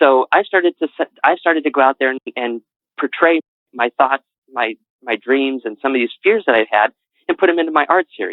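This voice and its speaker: A man with an American accent speaks in a fairly high pitch with ordinary pitch variation. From New England, Connecticut. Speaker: author. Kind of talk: interview. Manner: halting.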